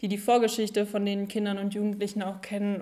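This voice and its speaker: Very fast speech in a monotone, flat intonation. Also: woman. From Germany, East Westphalia. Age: young. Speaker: federal volunteer service worker. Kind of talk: casual chat.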